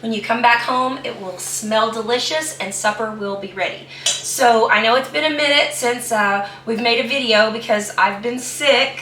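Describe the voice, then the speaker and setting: With an American accent, a woman speaks at a fairly high pitch and a moderate pace, with ordinary pitch variation and hardly any pauses. Noticeable background noise and audible room echo fill the recording. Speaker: home cooking video host. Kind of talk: cooking tutorial. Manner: casual, hesitant with fillers.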